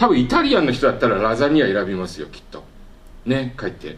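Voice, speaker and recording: In a room with audible echo, a man speaks at a fairly quick pace with very wide pitch swings. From Japan. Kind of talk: lecture. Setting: workshop with audience.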